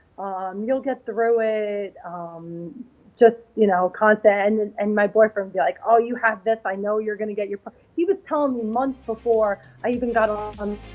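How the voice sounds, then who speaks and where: A woman speaks at a moderate pace in a fairly high voice with ordinary pitch variation. Her loudness swings widely. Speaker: figure bodybuilding competitor. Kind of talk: interview. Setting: live event in New York. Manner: halting, many fillers.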